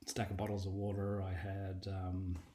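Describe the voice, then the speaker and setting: A somewhat breathy man with a fairly low pitch and an Australian accent. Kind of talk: personal testimony. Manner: casual, storytelling with fillers.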